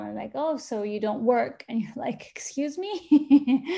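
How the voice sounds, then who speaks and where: A woman talks in an Arabic accent. Her pace is moderate. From Yemen, Sana'a. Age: 50s. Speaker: photographer and artist. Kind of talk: interview. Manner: hesitant, many fillers.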